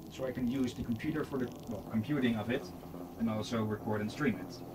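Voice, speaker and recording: Noticeable background noise sits behind fairly quick speech. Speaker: gaming streamer. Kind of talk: casual gaming stream commentary. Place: home room.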